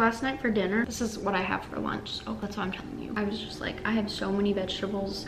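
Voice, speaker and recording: This woman talks at a very fast pace, with noticeable noise in the background. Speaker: house sitter vlogger. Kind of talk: casual vlog chat. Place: home room. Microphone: camera far.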